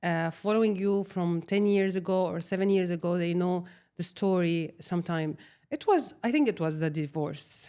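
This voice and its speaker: Speaking in an Arabic accent, a woman with a fairly low pitch and a dark, mellow tone goes at a moderate pace with ordinary pitch variation. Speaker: social media creator. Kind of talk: personal interview testimony. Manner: halting.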